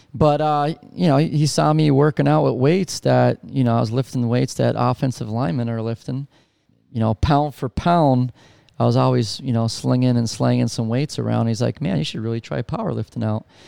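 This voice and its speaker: In a very clean recording with a silent background and a dry, close sound with no echo, a man speaks at a moderate pace. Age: 40s. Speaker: strength coach and gym owner. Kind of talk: casual interview. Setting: gym grand opening event.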